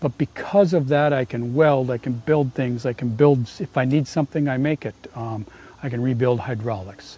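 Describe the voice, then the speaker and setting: An American-accented man talks at a fairly quick pace and medium pitch. His tone is dark and mellow, somewhat breathy. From US Midwest. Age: 60s. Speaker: small business owner and tradesman. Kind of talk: sales pitch. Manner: halting.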